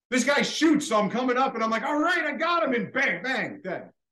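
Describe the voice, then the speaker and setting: A man uses a raised, projected voice at an extremely high pitch, his tone bright and sharp. His intonation is lively and his pace moderate. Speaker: longtime show supporter. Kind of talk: casual chat. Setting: video call.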